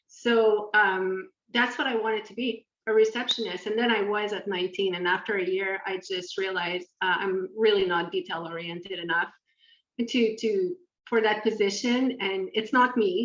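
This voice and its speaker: Moderate pace with a French accent. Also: woman. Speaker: podcast co-host. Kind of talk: casual chat.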